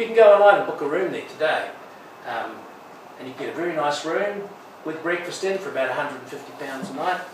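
A man speaks in a high voice at a moderate pace with ordinary pitch variation, light background noise and audible room echo. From Wales. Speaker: aid and development lecturer, guest speaker. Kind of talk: talk to church audience. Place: church. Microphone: camera far.

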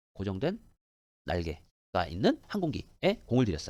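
A man speaks at medium pitch with vocal fry. His pitch swings very widely. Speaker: English teacher. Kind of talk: lecture.

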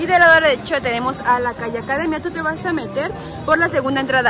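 Over clear background music, a woman uses a raised, projected voice in a dry recording with no echo. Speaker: shopping vlogger. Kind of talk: casual vlog chat. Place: shop. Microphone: phone near.

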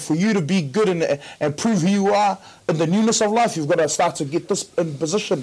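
Ordinary pitch variation in a man's speech. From New Zealand. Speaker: community worker, panelist; panelist. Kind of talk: panel discussion. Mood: earnest, preaching at the end. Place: studio. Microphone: lapel.

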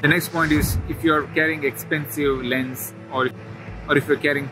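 A man's fairly quick, fairly even speech, dry with no echo, with music in the background. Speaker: travel vlogger. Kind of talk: casual vlog advice. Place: open country.

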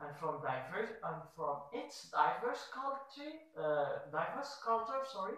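A man speaks at a fairly slow pace. Strong room echo surrounds his voice. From Morocco. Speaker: student researcher. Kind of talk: application video statement. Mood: formal, earnest. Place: office.

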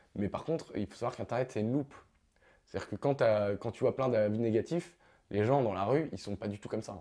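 Man's voice, dark and mellow, at a fairly quick pace with ordinary pitch variation over a quiet background. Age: 20s. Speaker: YouTuber; youtuber interviewee. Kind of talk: interview. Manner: halting. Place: studio.

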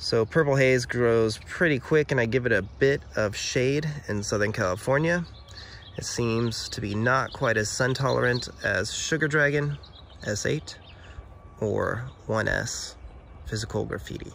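Over light background noise, a man speaks slowly, fairly so, with ordinary pitch variation in a dry sound with no echo. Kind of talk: tutorial. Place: garden. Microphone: phone near.

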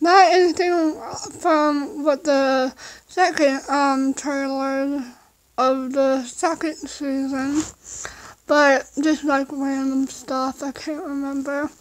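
A woman at a very slow pace with fairly even intonation. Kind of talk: casual vlog chat. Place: home room. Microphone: phone near.

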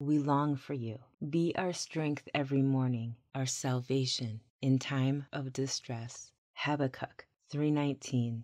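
Her voice is very deep and low, with a dark, mellow tone. The woman speaks very slowly with fairly even intonation. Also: quiet background. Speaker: scripture narrator, ASMR audio bible reader. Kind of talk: soothing scripture reading for sleep and anxiety relief. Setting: binaural microphone recording, vocals only with calm water ambiance. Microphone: studio mic.

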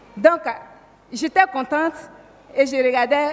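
A woman talks in a high pitch with lively intonation. Noticeable background noise can be heard. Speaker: church member giving testimony. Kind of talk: testimony. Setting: church.

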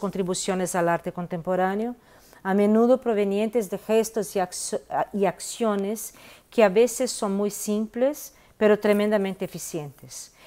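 A woman's dark, mellow voice with a Brazilian accent, ordinary pitch variation and a fairly slow pace. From Brazil, Minas Gerais (Belo Horizonte); Minas Gerais, Brazil. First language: Portuguese (speaking Spanish). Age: 50s. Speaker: visual artist. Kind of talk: interview monologue. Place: home room. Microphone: earbuds.

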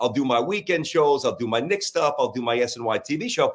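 Against a quiet background, a man with a New York accent speaks with a fairly high pitch and lively intonation. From Brooklyn, New York. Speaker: sports talk radio host. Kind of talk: casual chat interview. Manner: fast, animated. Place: office.

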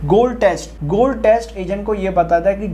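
A man speaks in a high pitch with fairly even intonation. Noticeable background noise runs under his voice. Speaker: engineering tutor. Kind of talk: tutorial.

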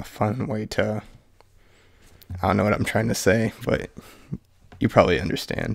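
A man's fairly low voice with vocal fry and fairly even intonation, at a moderate pace with long, frequent pauses, over a quiet background. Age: young. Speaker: channel creator. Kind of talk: casual talk to camera. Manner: rambling, hushed. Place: home room.

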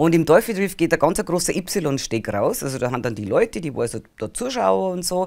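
A woman's fairly low voice with vocal fry, very wide pitch swings and a Bavarian accent, at a moderate pace against a quiet background. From Bavaria, rural village. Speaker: spiritual healer and channeling medium; interview guest. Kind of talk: interview. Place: studio.

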